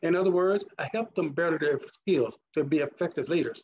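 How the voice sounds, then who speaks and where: Talking at a fairly quick pace, a man with a Mississippi accent uses a high voice with ordinary pitch variation. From US South, Mississippi. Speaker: leadership trainer and conference speaker. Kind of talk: conference presentation.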